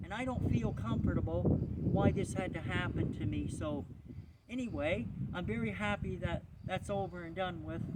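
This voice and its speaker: A man's moderately paced speech amid audible room echo and noticeable background noise. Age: 60s. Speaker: vlogger sharing personal history. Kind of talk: personal testimony. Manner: halting.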